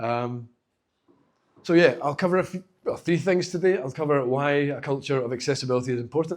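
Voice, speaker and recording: With a Glaswegian accent, a man talks at a fairly quick pace, his medium pitch showing ordinary variation. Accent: Glaswegian Scottish, noticeable. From Scotland, Glasgow. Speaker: accessibility specialist giving a talk. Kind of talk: conference talk. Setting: stage with live audience. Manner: fast; casual, halting with fillers.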